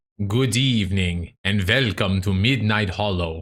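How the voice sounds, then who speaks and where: On a very clean recording with a silent background, a man uses a put-on character voice, raspy and fairly low-pitched, at a moderate pace. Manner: theatrical, spooky.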